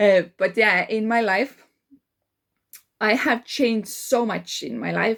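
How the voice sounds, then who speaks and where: A woman speaks with an Estonian accent. Her pace is very slow. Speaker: life coach. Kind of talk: casual monologue. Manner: halting, many fillers.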